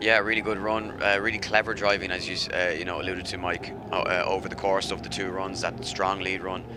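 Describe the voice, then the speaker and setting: Noticeable background noise and audible room echo are present. A man with an Irish accent talks at a fairly quick pace and a fairly low pitch, with monotone, flat intonation and hardly any pauses. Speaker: motorsport commentator. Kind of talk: live commentary. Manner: fast.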